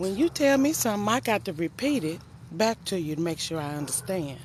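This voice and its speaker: Amid noticeable background noise, a woman talks at a moderate pace with very wide pitch swings. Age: 50s. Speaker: life coach and nurse. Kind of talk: casual live stream talk. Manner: animated.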